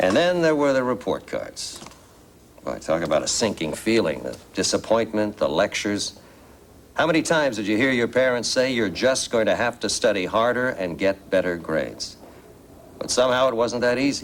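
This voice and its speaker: A man uses a plain, everyday voice at medium pitch. He keeps a moderate pace with lively intonation. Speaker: actor. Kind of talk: TV infomercial presentation. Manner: earnest, personal.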